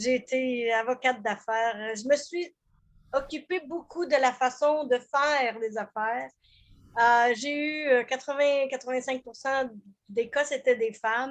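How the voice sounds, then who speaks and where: Against a quiet background, a woman with a high voice speaks at a very slow pace with fairly even intonation. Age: 70s. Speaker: business coach. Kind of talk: group video call introduction. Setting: video call.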